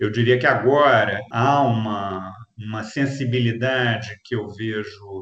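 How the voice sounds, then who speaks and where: A man of medium pitch speaks in a plain, everyday voice with fairly even intonation. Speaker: retired sociology professor. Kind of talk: interview. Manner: formal.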